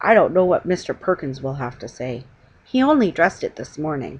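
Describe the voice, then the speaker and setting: A woman does a put-on character voice, raspy and fairly low in pitch, with very wide pitch swings. She talks at a fairly quick pace. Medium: read story. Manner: stern, grim.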